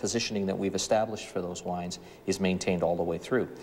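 A man speaks in a fairly low voice with flat, monotone intonation. There is light noise in the background. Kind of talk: interview answer. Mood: calm, businesslike. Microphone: lapel.

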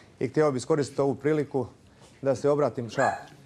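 A man talks very fast at a fairly high pitch. His intonation is monotone and flat. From Croatia, Zagreb. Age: 30s. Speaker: MMA fighter and businessman. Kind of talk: reality show confrontation. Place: hall. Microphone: lapel.

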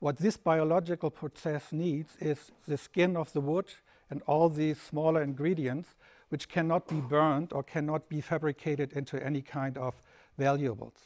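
Speaking at a moderate pace, a man with a German accent keeps his intonation fairly even. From Germany. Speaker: lecturer. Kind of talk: lecture. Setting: festival talk with live audience. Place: hall.

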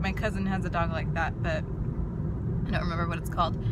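Loud background noise surrounds a woman speaking at a moderate pace. The sound is dry, with no echo. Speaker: vlogger. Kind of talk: casual vlog chat. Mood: cheerful, amused. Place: car. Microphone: phone near.

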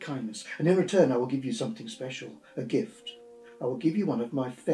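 Lively intonation in a natural voice reading aloud

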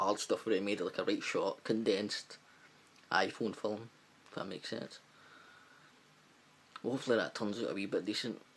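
A man speaks with a strong Glaswegian accent at a fairly quick pace, taking long, frequent pauses. His loudness swings widely. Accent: thick Glaswegian Scottish. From Glasgow, Scotland. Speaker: amateur filmmaker. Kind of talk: casual vlog talk to camera. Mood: upbeat, a bit shy. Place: home room. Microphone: webcam.

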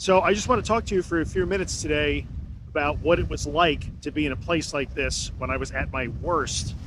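A man at a moderate pace, dry sound with no echo, plus noticeable background noise. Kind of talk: casual podcast monologue. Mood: calm, reflective. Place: beach. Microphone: phone near.

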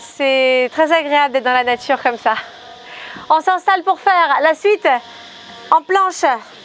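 There is music in the background. A woman talks fairly slowly at a high pitch. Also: ordinary pitch variation. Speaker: fitness coach. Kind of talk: workout tutorial. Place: open country. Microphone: lapel.

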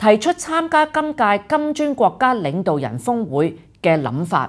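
Against a quiet background, a woman speaks at a fairly slow pace with vocal fry. Her pitch swings very widely. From Hong Kong. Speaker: political commentary host. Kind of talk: scripted news commentary. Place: studio.

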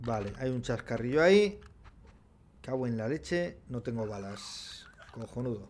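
A man at a fairly slow pace with lively intonation, over light background noise. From Spain. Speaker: gaming streamer. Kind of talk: casual gameplay commentary. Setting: livestream. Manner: animated, laughing often. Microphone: studio mic.

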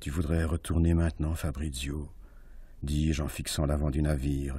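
A man delivers his lines in a dramatic tone at a very deep, low pitch and a fairly slow pace. His intonation stays monotone and flat against a quiet background. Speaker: actor reading aloud. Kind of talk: literary audiobook reading, intense, hushed first-person narration of a tense sea scene. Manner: hushed, dramatic, deliberate. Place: studio.

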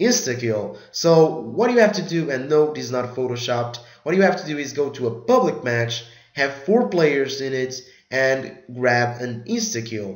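Lively intonation carries the speech at a moderate pace, with audible room echo. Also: man. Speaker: gaming youtuber. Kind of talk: tutorial. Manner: casual, filler-heavy.

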